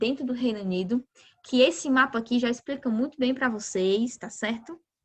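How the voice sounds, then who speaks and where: A woman with a high pitch speaks at a moderate pace, using ordinary pitch variation. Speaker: geography teacher. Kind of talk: lecture.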